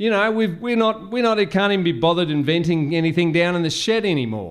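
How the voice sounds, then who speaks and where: With an Australian accent, a man talks very fast at a high pitch, showing ordinary pitch variation. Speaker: podcaster. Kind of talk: rant-style monologue, conspiracy podcast. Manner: rambling, casual, defiant, sarcastic.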